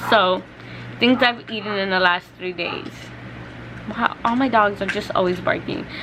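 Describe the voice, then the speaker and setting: Through noticeable background noise, a woman with a medium pitch keeps a moderate pace and fairly even intonation, with long, frequent pauses. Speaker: beauty and lifestyle vlogger. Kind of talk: casual vlog talk to camera. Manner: hesitant with many fillers.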